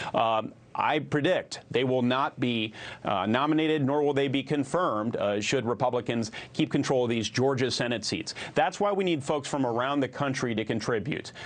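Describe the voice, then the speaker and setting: This man has an unremarkable speaking voice at medium pitch, with an American accent, a moderate pace and ordinary pitch variation. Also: very even loudness. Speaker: US senator, party committee chairman. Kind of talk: television news interview answer.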